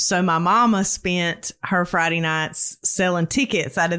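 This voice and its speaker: This woman has a Southern US accent and a fairly low pitch, talking at a fairly slow pace with ordinary pitch variation. The recording is very clean, with a silent background. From US South. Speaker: storyteller guest. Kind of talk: casual interview, personal story.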